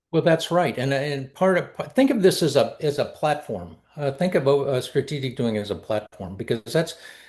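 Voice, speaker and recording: This man has a fairly high pitch and a somewhat breathy voice with lively intonation. He speaks at a moderate pace with hardly any pauses against a quiet background. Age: 70s. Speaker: collaboration method founder and speaker. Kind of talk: interview conversation. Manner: halting, with frequent repetitions.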